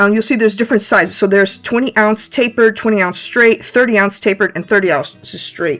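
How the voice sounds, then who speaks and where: Over music in the background, a woman with a fairly high pitch talks at a very fast pace with ordinary pitch variation. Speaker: crafting vlogger. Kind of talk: tutorial. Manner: casual, frequent fillers.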